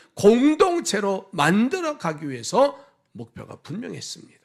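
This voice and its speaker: Pitched high, a man drags along at a very slow pace while his voice swings very widely up and down. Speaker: pastor. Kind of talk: sermon. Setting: church.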